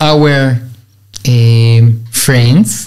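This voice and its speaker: Israeli accent, ordinary pitch variation, quiet background. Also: man. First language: Hebrew. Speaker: Orthodox rabbi. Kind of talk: religious teaching interview. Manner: halting, hesitant English. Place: studio. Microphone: studio mic.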